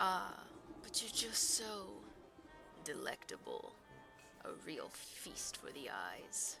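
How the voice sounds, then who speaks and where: Someone delivers a put-on character voice at a very slow pace, with long, frequent pauses and clear background noise. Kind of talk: let's play game commentary.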